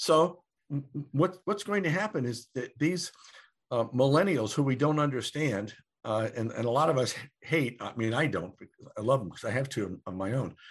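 Very wide pitch swings at a moderate pace, with long, frequent pauses over a quiet background. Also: man, medium pitch for a man. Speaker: demographer and futurist. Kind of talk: interview. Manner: halting, many fillers and repetitions.

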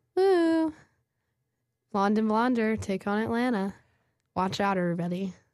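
At a moderate pace, a woman talks with lively intonation and long, frequent pauses, recorded very cleanly against a silent background. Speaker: podcast co-host. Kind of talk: casual chat. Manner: animated.

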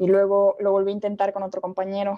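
With a Mexican accent, a woman talks at a moderate pace in a medium pitch and a dark, mellow tone. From Mexico. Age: 20s. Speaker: communication student. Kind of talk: casual chat.

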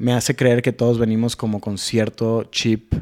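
A man with an unremarkable speaking voice and fairly low pitch talks at a fairly slow pace. The recording is very clean and silent behind him, with a dry, close sound and no echo. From Sonora, Mexico (San Carlos). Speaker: mental health talk show host and musician. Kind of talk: casual chat.

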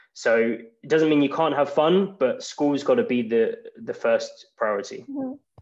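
Speaking with an English accent, a man keeps a moderate pace. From England. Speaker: English graduate and podcaster. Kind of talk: casual interview.

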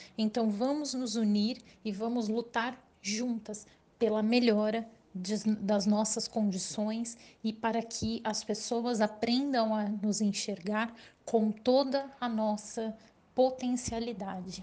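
A woman's somewhat breathy voice at a fairly high pitch, dark and mellow in tone, very slow in pace and monotone, with flat intonation. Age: 30s. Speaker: purchasing manager. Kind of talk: recorded testimony.

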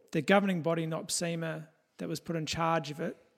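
This voice has an Australian accent and a moderate pace. The recording is very clean and the background is silent. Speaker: podcast host. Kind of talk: casual chat.

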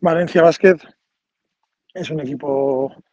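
This man talks very slowly at a fairly high pitch, with fairly even intonation. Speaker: assistant basketball coach. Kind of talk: interview. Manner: halting.

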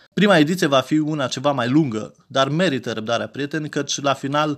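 An ordinary speaking voice. It moves along at a moderate pace. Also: man. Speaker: podcast host. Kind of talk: podcast intro and interview.

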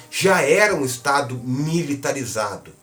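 A man speaks over noticeable background noise. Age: 40s. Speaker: journalist. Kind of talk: casual chat.

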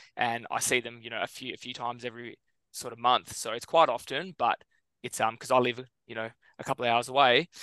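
A man with a bright, sharp tone, fairly even intonation, big swings in loudness, and a very fast pace, in a dry, close sound with no echo. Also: medium pitch for a man. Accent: Australian. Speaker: podcast co-host. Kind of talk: casual chat.

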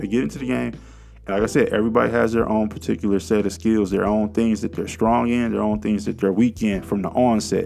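Over music in the background, a man with a fairly low voice talks at a very fast pace in an animated tone, with ordinary pitch variation. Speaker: podcast host, self-styled investing commentator. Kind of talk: angry rant, raw and profane monologue on finance gurus. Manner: fired-up, agitated, emphatic; street-slang, conversational, animated.

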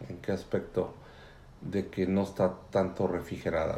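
With a very deep, low pitch, a man speaks fairly slowly amid audible room echo. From Mexico City area. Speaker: immigrant father interviewed by daughter. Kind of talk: family interview.

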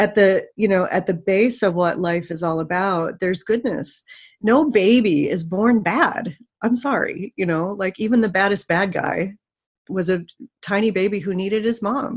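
A woman speaks at a moderate pace. Her pitch is medium, with ordinary pitch variation. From Chicago, US Midwest. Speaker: yoga teacher. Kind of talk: casual interview chat. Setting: video call.

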